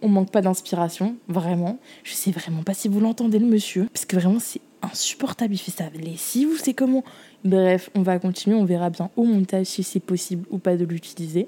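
A woman's somewhat breathy, animated voice at a medium pitch, with ordinary pitch variation and a moderate pace. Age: 20s. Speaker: podcast host and student. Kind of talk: casual monologue.

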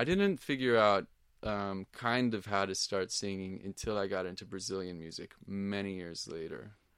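A plain, everyday voice with an American accent moves at a moderate pace with ordinary pitch variation on a very clean recording with a silent background. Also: man, fairly low pitch for a man. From Portland, Oregon. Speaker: music teacher. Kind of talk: casual chat.

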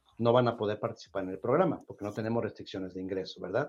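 Very fast speech from a man, with music in the background. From Mexico. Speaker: nonprofit office director hosting a housing podcast. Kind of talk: live-streamed call-in show.

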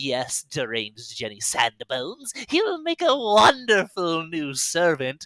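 Using a put-on character voice with a menacing tone, a man speaks at a high pitch and a fairly slow pace with hardly any pauses. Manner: cackling, gleeful, menacing.

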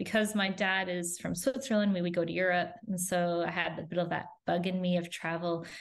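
Fairly quick with hardly any pauses, a woman with a Canadian accent speaks at a fairly low pitch and fairly even intonation, with audible room echo. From Canada. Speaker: family travel content creator. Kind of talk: interview conversation.

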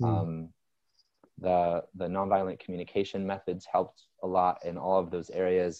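Very deep and low in pitch, a man speaks at a moderate pace with monotone, flat intonation. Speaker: business coach. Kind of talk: casual interview chat.

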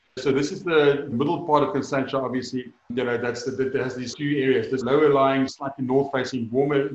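Audible room echo surrounds a man of medium pitch. He talks at a moderate pace with fairly even intonation. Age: 40s. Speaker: winemaker. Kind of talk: interview.

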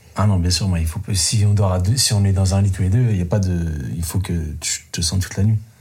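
A man with a very deep, low voice talks fairly quickly over noticeable background noise. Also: ordinary pitch variation. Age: 30s. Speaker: dating show contestant. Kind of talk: casual chat. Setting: in total darkness.

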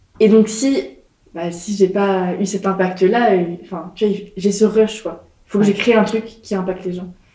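A woman speaks at a medium pitch with fairly even intonation. Her tone is dark and mellow. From France, Nantes. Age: 20s. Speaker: entrepreneur. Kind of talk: interview. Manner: casual, hesitant fillers.

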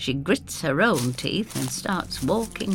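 A natural reading voice carries this recording.

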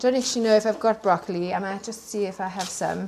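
A woman with a South African accent talks at a very fast pace with fairly even intonation over noticeable background noise. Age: 40s. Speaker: secondhand clothing business owner. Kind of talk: casual chat. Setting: at home in the countryside.

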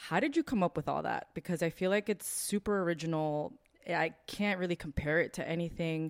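At a fairly quick pace, a woman with a fairly low pitch and ordinary pitch variation speaks in an unremarkable speaking voice. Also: dry, close sound with no echo. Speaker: podcast co-host. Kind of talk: casual chat.

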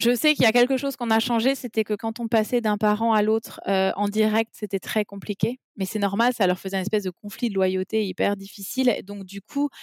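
Fairly quick and fairly even in intonation, a woman speaks in an unremarkable speaking voice, pitched fairly high. The sound is dry and close, with no echo. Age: 30s. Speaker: mother and parenting blogger. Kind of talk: casual interview about personal life. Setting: remote call.

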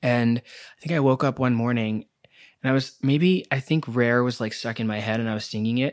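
Speech at a moderate pace with fairly even intonation comes through on a very clean recording with a silent background. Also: man, medium pitch for a man. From New Delhi, India. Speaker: pop singer and independent artist. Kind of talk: casual interview chat.

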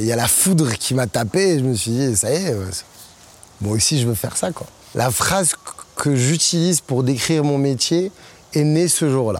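Amid noticeable background noise, a man with fairly high pitch and lively intonation moves at a moderate pace with long, frequent pauses. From Morocco. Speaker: DJ and music producer. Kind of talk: interview monologue. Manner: animated.

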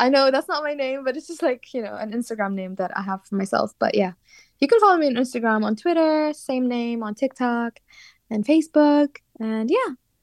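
Fairly quick, lively speech from a woman with a Kurdish accent, dry and close with no echo, against a quiet background. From Iraqi Kurdistan, Sulaymaniyah. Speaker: singer-songwriter. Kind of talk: interview. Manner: hesitant, many fillers.

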